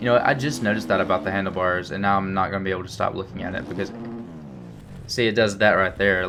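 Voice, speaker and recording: A man's fairly low voice with ordinary pitch variation, a strong Alabama accent, and audible room echo. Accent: strong rural Alabama. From Alabama, US South. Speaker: gaming youtuber. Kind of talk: gameplay commentary. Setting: indoors at home. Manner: casual, many fillers.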